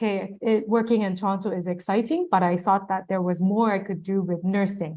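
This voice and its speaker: Against a quiet background, a woman with a Japanese accent speaks at medium pitch with fairly even intonation. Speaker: nurse and international health expert giving a lecture. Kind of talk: lecture. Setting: online and offline webinar lecture.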